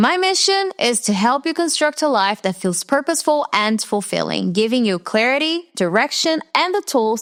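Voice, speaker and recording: Over noticeable background noise, a woman with an American accent talks at a moderate pace, her loudness very even while her pitch swings very widely. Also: dry, close sound with no echo. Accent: very Americanized English. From Brazil. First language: Portuguese. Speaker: podcast host, personal development mentor. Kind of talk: scripted podcast monologue.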